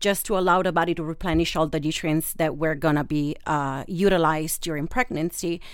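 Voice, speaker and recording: In an Italian accent, a woman speaks fairly quickly at a fairly low pitch with hardly any pauses. Her intonation is fairly even, and the recording is very clean with a silent background. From Italy, Rome. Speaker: holistic nutritionist. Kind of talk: expert interview. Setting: studio.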